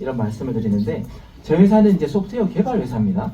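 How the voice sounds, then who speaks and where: A man talks at a fairly high pitch, his voice swinging very widely in pitch. The room echo is audible, and there is noticeable background noise. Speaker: company executive giving business presentation. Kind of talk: business presentation to live audience.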